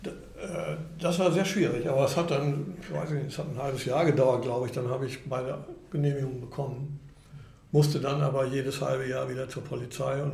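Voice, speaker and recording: A man talks at a fairly quick pace with fairly even intonation. Audible room echo surrounds his voice. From Germany. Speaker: retired chamber of commerce executive. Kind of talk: interview conversation. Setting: restaurant.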